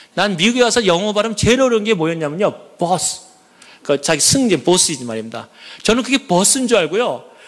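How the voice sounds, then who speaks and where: Over noticeable background noise, a man with a high pitch talks at a fairly quick pace in an animated tone with lively intonation. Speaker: church elder giving testimony. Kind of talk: testimony.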